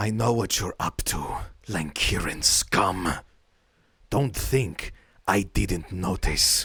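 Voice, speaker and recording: A man uses a raspy, put-on character voice with a fairly low pitch. He goes at a very slow pace, with long, frequent pauses. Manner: menacing, accusing.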